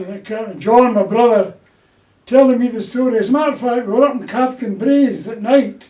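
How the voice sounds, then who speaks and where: A high-pitched male voice with ordinary pitch variation and a Glaswegian accent. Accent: Glaswegian Scottish. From Scotland, Glasgow. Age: 80s+. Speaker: war-era storyteller. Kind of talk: casual interview.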